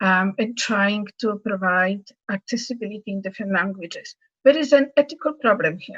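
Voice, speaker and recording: A woman with a Polish accent at a moderate pace, medium in pitch with ordinary pitch variation and big swings in loudness, in a dry, close sound with no echo. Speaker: accessibility advocate panelist. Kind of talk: panel discussion.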